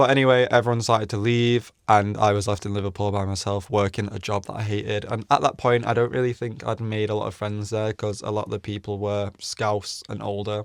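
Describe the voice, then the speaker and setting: The speaker talks at a fairly quick pace with an English accent and fairly even intonation. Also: man. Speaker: vlogger, former model. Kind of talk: casual chat, story time. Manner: monotone.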